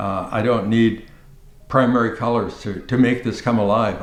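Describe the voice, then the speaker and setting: Audible room echo and noticeable background noise surround a man speaking at a fairly slow pace, medium in pitch, with ordinary pitch variation. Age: 80s+. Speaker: artist. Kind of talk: documentary interview. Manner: halting, with frequent repetitions; animated.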